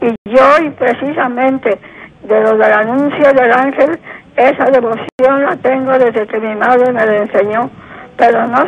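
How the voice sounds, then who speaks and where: High-pitched woman at a very slow pace with fairly even intonation, over noticeable background noise. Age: 80s+. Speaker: caller. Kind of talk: phone-in call. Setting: phone call.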